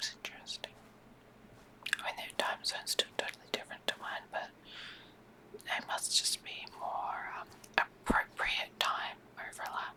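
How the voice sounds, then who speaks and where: Whispered words come at a fairly slow pace over noticeable background noise. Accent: Australian. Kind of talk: ASMR whispered gaming commentary. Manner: soft-spoken, rambling.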